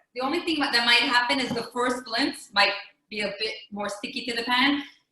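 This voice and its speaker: A woman's high-pitched voice moves at a moderate pace with ordinary pitch variation. Audible room echo surrounds it. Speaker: rebbetzin cooking demonstrator. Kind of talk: cooking demonstration. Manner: casual, hesitant with fillers.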